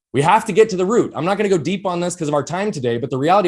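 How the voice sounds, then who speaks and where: Loud and very fast, a man speaks at a high pitch with lively intonation. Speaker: entrepreneur and performance coach. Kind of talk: podcast interview.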